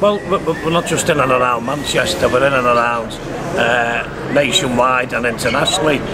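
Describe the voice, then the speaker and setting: Over noticeable background noise, a man with a Liverpool accent speaks at a moderate pace and medium pitch, with ordinary pitch variation and very even loudness. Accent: Scouse. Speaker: trade union spokesperson. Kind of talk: interview answer. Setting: outdoors, street.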